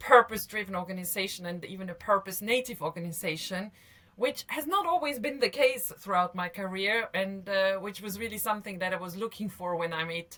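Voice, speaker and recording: Against noticeable background noise, a woman with an Austrian accent talks at a fairly quick pace, her medium pitch showing ordinary variation. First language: German. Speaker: business executive. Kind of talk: interview. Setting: video call.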